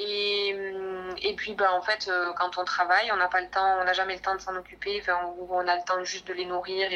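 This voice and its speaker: A woman with a medium pitch and a bright, sharp tone speaks at a moderate pace in monotone, flat intonation. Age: 30s. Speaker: nurse and horseback traveler. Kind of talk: casual interview.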